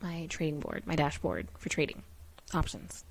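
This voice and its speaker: A woman's very deep, low voice at a moderate pace, with fairly even intonation. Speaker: beginner options trader vlogger. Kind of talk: screen-share tutorial. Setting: at home. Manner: speaking quietly.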